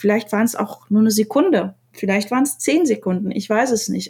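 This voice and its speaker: Somewhat breathy and dark, mellow in tone, a woman with a fairly high pitch talks at a fairly quick pace with ordinary pitch variation. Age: 30s. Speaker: designer and poet. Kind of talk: casual chat. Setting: remote call.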